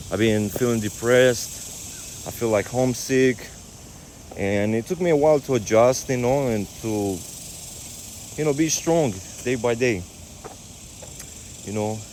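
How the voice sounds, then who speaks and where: There is noticeable background noise as a man at a medium pitch talks with long, frequent pauses. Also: ordinary pitch variation, fairly slow pace. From Romania. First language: Romanian. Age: 30s. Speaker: fitness coach. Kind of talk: casual vlog monologue. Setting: outdoors on a walk. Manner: halting.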